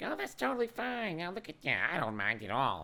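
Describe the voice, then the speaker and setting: A put-on character voice moves at a fairly quick pace with very wide pitch swings. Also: man, medium pitch for a man. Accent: Southern US. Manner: unfazed, easygoing.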